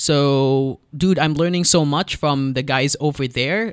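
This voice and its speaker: On a very clean recording with a silent background, a man with a Filipino accent speaks at a fairly high pitch, fairly slowly and with fairly even intonation. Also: dry, close sound with no echo. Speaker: radio presenter. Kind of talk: casual chat.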